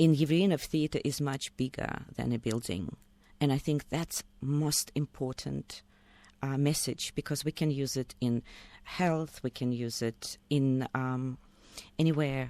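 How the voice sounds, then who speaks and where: A woman with a Russian accent speaks at a fairly slow pace in a very deep, low pitch with a dark, mellow tone. Her intonation is fairly even, and the sound is dry and close, with no echo. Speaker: acting coach. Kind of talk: interview. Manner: passionate.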